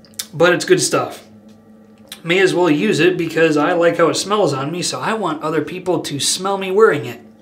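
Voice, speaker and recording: Against noticeable background noise, the speaker talks at a moderate pace with ordinary pitch variation. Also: man, high pitch for a man. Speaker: wet shaving video creator. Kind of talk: casual monologue. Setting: home video, stationed in Turkey. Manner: casual, talkative, opinionated.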